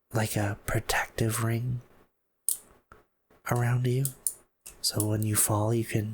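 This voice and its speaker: A man's medium-pitched, somewhat breathy voice at a very slow pace, with long, frequent pauses, monotone, flat intonation and very even loudness. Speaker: ASMR gameplay commentator. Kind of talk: casual talk to camera, map exploration commentary. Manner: slow, relaxed, gently humorous.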